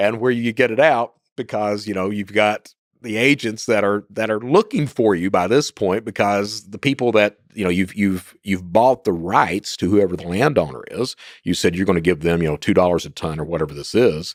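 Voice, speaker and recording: A man speaks with an Appalachian accent at a fairly low pitch with ordinary pitch variation. The sound is dry and close, with no echo. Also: moderate pace, very clean recording, silent background. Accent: Appalachian Kentucky. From Eastern Kentucky, US. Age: 50s. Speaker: former cybercriminal. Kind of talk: podcast interview. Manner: casual, halting with repetitions.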